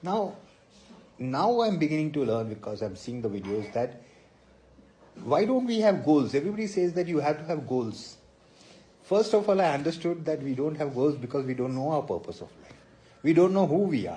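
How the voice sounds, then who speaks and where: A man's somewhat breathy voice, dark and mellow in tone and fairly high in pitch, moves through very wide pitch swings and big swings in loudness, with long, frequent pauses. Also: moderate pace. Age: 60s. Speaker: motivational speaker. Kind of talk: live-stream monologue.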